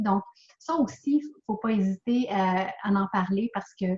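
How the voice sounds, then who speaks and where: A woman talks with a Quebec accent. Her voice is somewhat breathy, at a fairly slow pace. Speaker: author and speaker. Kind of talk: interview answer.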